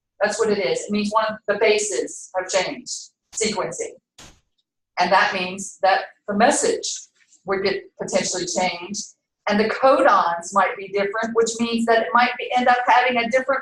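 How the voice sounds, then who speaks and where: Amid audible room echo, a woman talks at a moderate pace in a fairly high pitch with ordinary pitch variation. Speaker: biology instructor. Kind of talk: lecture. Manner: loud.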